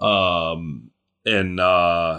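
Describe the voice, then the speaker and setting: A man with an American accent speaks at a very deep, low pitch in a bright, sharp tone. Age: 50s. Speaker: Bible teacher. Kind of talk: Bible teaching. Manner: casual, folksy.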